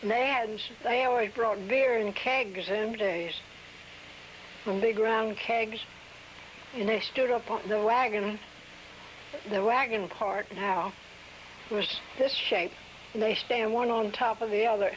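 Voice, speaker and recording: A woman's fairly high-pitched voice in a rural Delaware accent, very slow with long, frequent pauses, very even in loudness and fairly even in intonation, with noticeable background noise. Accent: rural Delaware American. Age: 80s+. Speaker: oral history interviewee. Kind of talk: oral history interview. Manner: halting.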